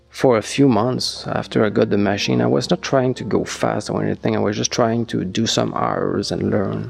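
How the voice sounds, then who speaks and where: A man with a non-native accent at a moderate pace, music in the background. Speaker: gyrocopter owner and pilot. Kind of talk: casual review talk to camera. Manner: hesitant, many fillers.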